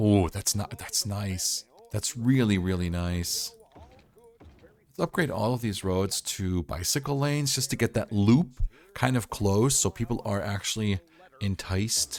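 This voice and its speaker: A man with a fairly low pitch talks at a fairly slow pace. His tone is upbeat, with ordinary pitch variation. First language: not English. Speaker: gaming YouTuber. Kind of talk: game tutorial commentary. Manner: casual, upbeat.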